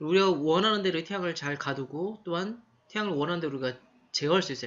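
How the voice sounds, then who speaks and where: The speaker is a man with a high pitch. He talks at a very fast pace. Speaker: university lecturer. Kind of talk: lecture.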